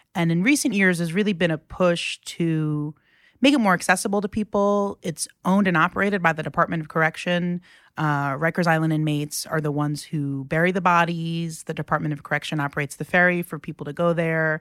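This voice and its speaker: Very fast and in an American accent, a woman speaks at a fairly low pitch with ordinary pitch variation, in a very clean recording with a silent background and a dry, close sound with no echo. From New York City, Queens (Rockaway). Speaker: journalist. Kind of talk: casual chat.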